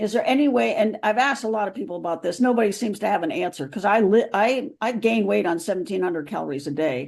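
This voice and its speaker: Against a quiet background, a woman with vocal fry and a medium pitch races along at a very fast pace with hardly any pauses, her pitch swinging very widely. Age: 70s. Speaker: senior runner asking a question. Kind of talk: audience question. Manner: halting, hesitant.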